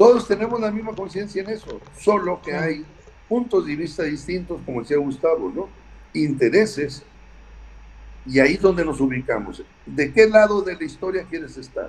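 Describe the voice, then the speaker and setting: This man speaks at a moderate pace in a high voice, with big swings in loudness. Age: 60s. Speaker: politician. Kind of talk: interview.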